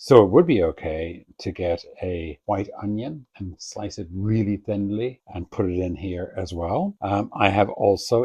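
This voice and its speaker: The sound is dry and close, with no echo. A man with an Irish accent talks at a fairly slow pace, his fairly low voice somewhat breathy and his tone dark and mellow. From Ireland. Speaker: cooking show host. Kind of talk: tutorial.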